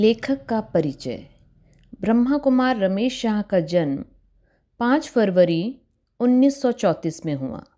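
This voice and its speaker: A woman speaks at fairly high pitch, with very wide pitch swings. Her tone is dark and mellow. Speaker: spiritual guide. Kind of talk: spiritual book narration.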